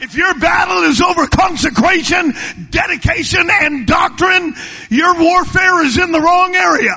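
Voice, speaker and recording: Shouting at a moderate pace in a warm, animated tone, a man with an extremely high pitch and ordinary pitch variation is heard over noticeable background noise. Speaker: preacher. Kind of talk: sermon at a revival camp meeting. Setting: church camp meeting with live congregation. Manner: animated, fervent preaching with call-and-response urging; warm, conversational, humorous asides.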